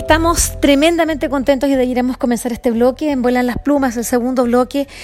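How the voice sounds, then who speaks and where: Her voice rises to a high pitch. The woman's pitch moves with ordinary variation. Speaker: podcast host. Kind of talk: radio presenting. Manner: halting.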